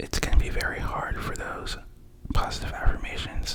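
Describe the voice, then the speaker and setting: A whisper carries over noticeable background noise. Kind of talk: ASMR positive affirmations, soft-spoken talk to camera. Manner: soft-spoken, whispering; casual, friendly, chatty.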